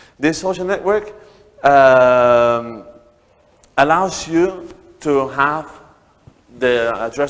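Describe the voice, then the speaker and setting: A man with a Spanish accent speaks with ordinary pitch variation and big swings in loudness. His pauses are long and frequent. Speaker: startup founder. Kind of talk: talk to an audience. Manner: halting, many repeated words.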